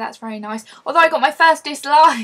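A woman speaks in an English accent. Her intonation is lively. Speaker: vlogger. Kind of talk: casual vlog.

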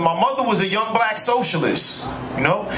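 A man talks at a fairly quick pace with lively intonation. Loud background noise runs underneath. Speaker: stand-up comedian. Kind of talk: stand-up comedy. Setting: stage with audience, comedy club. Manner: animated, casual, conversational; laughs at own jokes, punchy delivery. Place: bar. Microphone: handheld.

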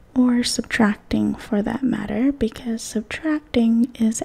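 Soft-spoken and gentle in tone, the voice moves at a fairly slow pace. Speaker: math teacher. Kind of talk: tutorial. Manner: soft, gentle ASMR speaking voice.

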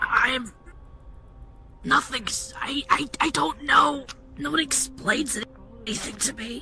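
Over clear background music, a man speaks in a raspy, put-on character voice at an extremely high pitch, very slowly, with long, frequent pauses. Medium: audio drama. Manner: anxious, tearful, defensive.

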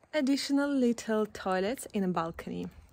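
A woman's voice at a moderate pace with ordinary pitch variation, dry with no echo, over light background noise. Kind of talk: casual vlog chat. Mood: cheerful, enthusiastic. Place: street. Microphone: phone near.

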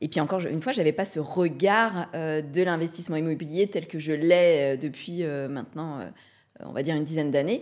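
The background is quiet. A woman with a very deep, low pitch talks at a fairly quick pace. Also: ordinary pitch variation. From Brittany, France. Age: 40s. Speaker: real estate investor; podcast guest. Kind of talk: casual interview. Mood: calm, reflective. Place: studio. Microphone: studio mic.

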